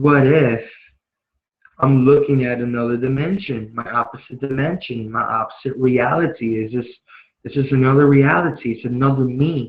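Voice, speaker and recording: Using a medium pitch and fairly even intonation, a man talks at a moderate pace. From Chicago and Puerto Rico. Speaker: spiritual vlogger. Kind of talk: personal testimony. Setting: live video stream. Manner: casual, many fillers.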